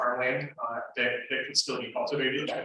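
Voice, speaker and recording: A man speaks at a moderate pace with a fairly high pitch. His intonation is flat and monotone, and room echo can be heard. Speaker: panel moderator. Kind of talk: panel discussion introduction. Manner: halting, many fillers and repetitions.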